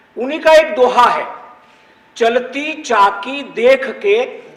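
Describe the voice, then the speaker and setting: There is noticeable background noise here. A man with a Gujarati accent speaks at an extremely high pitch. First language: Gujarati (speaking Hindi). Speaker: Sanskrit scholar, panelist. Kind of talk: panel discussion talk.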